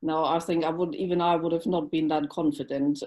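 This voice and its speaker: A dark, mellow tone from a woman, fairly low in pitch. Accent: German. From Germany. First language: German. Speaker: dog training instructor and tea business owner. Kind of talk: casual chat. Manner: halting, with many fillers.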